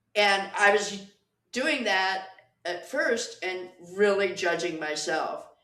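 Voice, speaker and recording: In a room with audible echo, a woman speaks at a very slow pace and medium pitch, with ordinary pitch variation. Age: 60s. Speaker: pole dancer. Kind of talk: casual chat.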